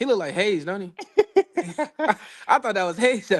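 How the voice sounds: Moving at a fairly quick pace, this man has a high pitch and ordinary pitch variation.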